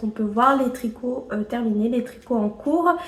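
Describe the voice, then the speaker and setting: High-pitched for a woman, her voice shows ordinary pitch variation. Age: 20s. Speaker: knitting vlogger. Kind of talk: casual video podcast monologue. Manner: hesitant, many filler sounds.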